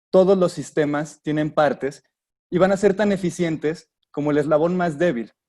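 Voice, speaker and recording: The man's tone is dark and mellow. He talks in a fairly high pitch. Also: ordinary pitch variation. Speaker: industrial designer giving a talk. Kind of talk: webinar lecture. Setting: online webinar. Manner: fast.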